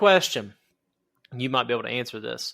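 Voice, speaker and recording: On a very clean recording with a silent background, the speaker talks in a strong Southern accent. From southern Ohio. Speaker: podcast host. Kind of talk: casual interview.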